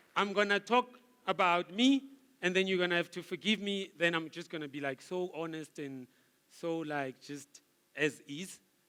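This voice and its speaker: This man's voice is high-pitched, bright and sharp, with an animated tone, ordinary pitch variation, a moderate pace and big swings in loudness. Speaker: guest speaker, marketing director. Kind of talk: motivational speech. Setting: gala dinner with audience.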